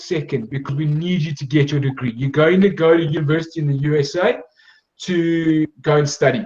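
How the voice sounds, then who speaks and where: A man's fairly high voice in a South African accent, with ordinary pitch variation, at a moderate pace. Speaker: sports scholarship agency director. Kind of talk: presentation.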